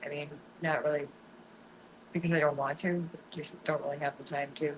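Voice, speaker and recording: A woman's very deep, low pitch carries speech at a moderate pace. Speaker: fishing livestreamer. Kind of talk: casual livestream chat with viewers.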